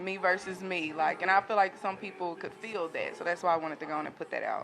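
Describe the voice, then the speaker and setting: Talking at a very fast pace with a Southern US accent, a woman is heard over noticeable background noise. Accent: Southern country. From US South, Jackson, Tennessee. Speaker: singer. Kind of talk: interview.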